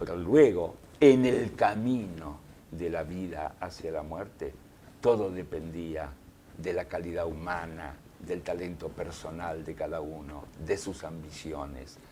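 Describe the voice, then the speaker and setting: With audible room echo, a man speaks at a very slow pace in a very deep, low pitch and a dark, mellow tone, with ordinary pitch variation. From Soviet Union, raised in Argentina from childhood. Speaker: journalist and writer. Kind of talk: interview. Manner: reflective.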